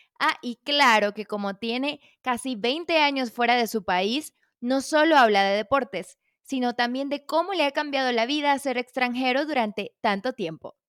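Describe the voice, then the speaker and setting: At a moderate pace and with ordinary pitch variation, the speech is recorded very cleanly with a silent background and a dry, close sound with no echo. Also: woman, high pitch for a woman. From Venezuela. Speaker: podcast host, journalist. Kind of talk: casual interview; scripted podcast intro.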